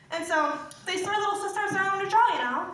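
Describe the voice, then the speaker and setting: An extremely high, squeaky put-on character voice with a smug tone, a fairly quick pace and slight echo. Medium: stage play. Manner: smug, testy.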